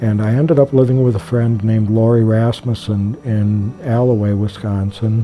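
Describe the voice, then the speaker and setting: A man's fairly low voice at a moderate pace, fairly even in intonation, amid noticeable background noise. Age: 60s. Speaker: program participant. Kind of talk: testimony. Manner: halting.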